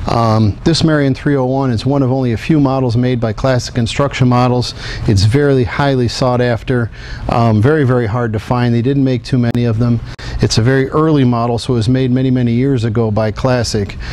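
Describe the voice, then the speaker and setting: A man speaks at medium pitch and a fairly quick pace with fairly even intonation. His loudness stays very even, over noticeable background noise. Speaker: diecast model company president. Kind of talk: product showcase talk.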